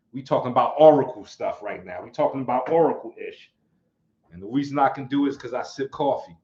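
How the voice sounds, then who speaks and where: In a New York accent, a dark, mellow voice rushes at a very fast pace with big swings in loudness and ordinary pitch variation. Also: man, fairly high pitch for a man. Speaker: martial arts teacher, livestream host. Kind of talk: casual livestream chat. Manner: animated.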